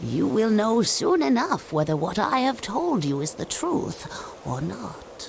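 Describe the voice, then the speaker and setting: Using a cartoonish character voice, a woman speaks at medium pitch and a fairly slow pace. Her pitch swings very widely over clear background noise. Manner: measured, cryptic.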